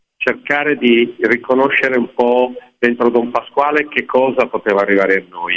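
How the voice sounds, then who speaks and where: An unremarkable speaking voice from a man at medium pitch, ordinary pitch variation, fairly slow pace. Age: 60s. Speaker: opera stage director. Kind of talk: radio interview.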